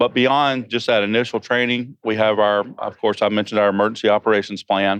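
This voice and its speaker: With a Georgia accent, a man talks in a fairly low voice with fairly even intonation. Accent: Southern US (Georgia), noticeable. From Georgia, US South. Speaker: emergency preparedness manager. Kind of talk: interview. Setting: conference venue.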